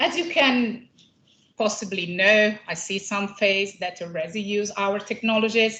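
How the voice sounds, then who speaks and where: A very slow, bright, sharp voice with an Italian accent. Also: woman. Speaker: company scientist presenting at a conference. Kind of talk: conference presentation. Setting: conference room with audience. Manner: hesitant, many fillers.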